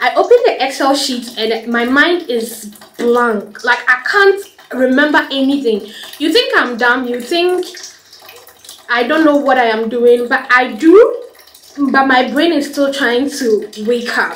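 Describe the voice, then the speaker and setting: There is noticeable background noise behind this woman. She speaks at a high pitch. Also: ordinary pitch variation. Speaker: vlogger. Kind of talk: casual vlog chat. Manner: halting, stammering.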